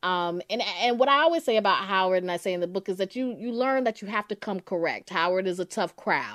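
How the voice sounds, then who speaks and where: A woman with an ordinary speaking voice and medium pitch speaks at a fairly quick pace with lively intonation and hardly any pauses, the sound dry and close with no echo against a quiet background. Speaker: author and editor. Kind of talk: interview.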